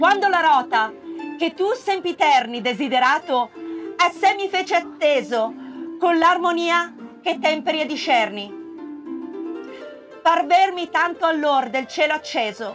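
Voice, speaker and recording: Extremely high woman's voice, fairly slow, with lively intonation, long and frequent pauses, and music in the background. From Italy. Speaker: stage actress and theatre director. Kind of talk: poetry reading. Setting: outdoors, public place.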